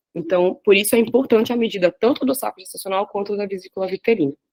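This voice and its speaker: Very fast pace and ordinary pitch variation, the sound dry and close with no echo. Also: woman. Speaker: radiology resident presenting a class. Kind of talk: lecture.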